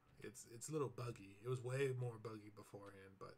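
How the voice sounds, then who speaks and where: A man speaks in a mumble. His voice is somewhat breathy. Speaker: indie game developer. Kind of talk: dev diary gameplay commentary. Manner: mumbling; casual, hesitant with fillers.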